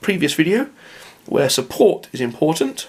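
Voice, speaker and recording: This man's fairly high voice carries vocal fry. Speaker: tabletop wargame rules presenter. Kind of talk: casual tutorial talk to camera.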